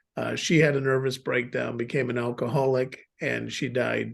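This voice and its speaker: He keeps a moderate pace. This man speaks with an American accent. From US, Chicago. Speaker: businessman, guest speaker. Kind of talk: personal testimony on video call. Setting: video call.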